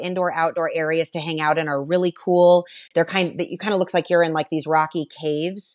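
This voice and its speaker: Over a quiet background, a woman talks fairly quickly at a fairly low pitch. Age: 40s. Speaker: podcast guest, travel podcast host. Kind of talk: casual interview chat. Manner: animated.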